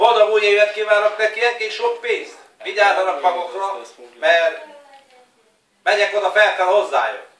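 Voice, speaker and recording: Amid audible room echo, a high-pitched man talks at a fairly slow pace, with long, frequent pauses and ordinary pitch variation. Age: 40s. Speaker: family member giving greetings. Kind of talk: New Year greeting video, casual. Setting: home video recorded by family. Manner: halting, repetitive.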